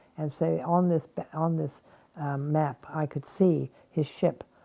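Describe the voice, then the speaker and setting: A woman speaks with a dark, mellow tone, a very deep, low pitch and fairly even intonation. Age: 80s+. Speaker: war veteran. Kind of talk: interview. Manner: hesitant.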